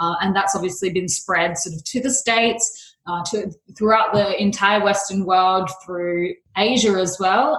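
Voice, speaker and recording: A woman with an Australian accent speaks at a moderate pace. Her medium-pitched voice is somewhat breathy, with ordinary pitch variation. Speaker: beauty company founder. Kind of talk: podcast interview. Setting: remote call.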